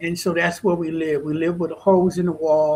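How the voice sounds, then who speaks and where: A man speaks with an American accent at a fairly high pitch. His intonation is monotone and flat. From California, Stockton area. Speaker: author and speaker, former prisoner. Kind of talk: interview.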